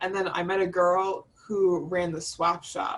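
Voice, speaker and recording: An unremarkable speaking voice, with an American accent. The intonation stays fairly even. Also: woman. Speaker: study abroad alumna, student designer. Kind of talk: casual panel talk. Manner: casual, many fillers.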